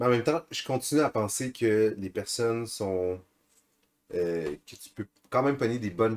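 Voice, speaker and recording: Using lively intonation and big swings in loudness, a man at medium pitch talks at a fairly slow pace with long, frequent pauses. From Bas-Saint-Laurent, Quebec. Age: 20s. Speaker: podcast co-host, skier. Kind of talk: casual chat.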